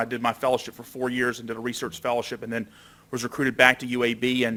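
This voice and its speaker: Speaking with an Alabama accent, a man talks at a very fast pace. His voice has a medium pitch and a bright, sharp tone. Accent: Southern US (Alabama). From Alabama, US South. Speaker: doctor and researcher. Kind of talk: lecture.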